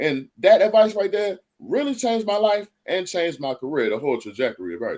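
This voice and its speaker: The speech races along very fast with hardly any pauses, and the pitch swings very widely. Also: man, high pitch for a man. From Baltimore area.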